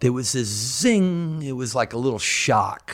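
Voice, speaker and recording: Here is a man with an American accent and an ordinary speaking voice. He goes at a moderate pace with ordinary pitch variation on a very clean recording with a silent background. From US South. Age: 60s. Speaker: real estate agent and former rock guitarist. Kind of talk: interview. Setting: at home.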